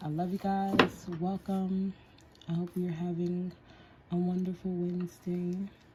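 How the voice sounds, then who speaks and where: Noticeable background noise sits behind a woman's fairly low voice. She speaks at a fairly slow pace in a monotone, flat intonation. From Whittier, California. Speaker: nail artist. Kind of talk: livestream tutorial. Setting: at home. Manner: casual.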